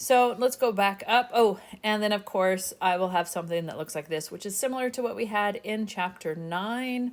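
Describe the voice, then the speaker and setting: With a normal speaking voice, a woman speaks at a moderate pace in a medium pitch, her intonation lively. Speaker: statistics instructor. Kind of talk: tutorial.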